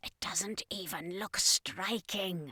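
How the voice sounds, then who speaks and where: A raspy, put-on character voice. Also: woman, medium pitch for a woman. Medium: read story. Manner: curt, scolding.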